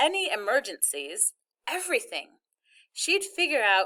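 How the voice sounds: Heard here is a natural reading voice. Behind it, the background is quiet.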